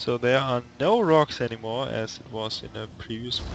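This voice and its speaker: The speaker talks at a fairly slow pace with a German accent. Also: man. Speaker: esports commentator. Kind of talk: live commentary.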